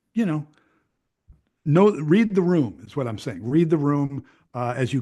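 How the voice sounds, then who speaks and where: With a Chicago accent, a man speaks at a moderate pace in a dark, mellow tone. His intonation is lively, and the background is quiet. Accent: Chicago American English. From Chicago area, Illinois. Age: 60s. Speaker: retired radio news journalist. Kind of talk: casual interview conversation.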